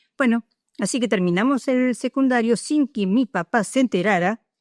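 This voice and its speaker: On a very clean recording with a silent background, a woman speaks at a fairly quick pace with lively intonation. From Argentina, Punta Alta (Buenos Aires province). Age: 60s. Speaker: retired nurse, war veteran. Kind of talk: oral history interview. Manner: hesitant, many filler sounds.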